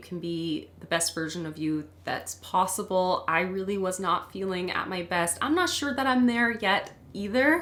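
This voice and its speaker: A woman of medium pitch talks at a moderate pace. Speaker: beauty vlogger. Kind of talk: casual chat while doing makeup. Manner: rambling.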